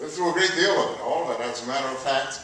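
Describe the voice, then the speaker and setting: Strong room echo and light background noise accompany a man's voice. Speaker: elder storyteller recounting civil rights-era experiences. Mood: earnest personal memories. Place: hall.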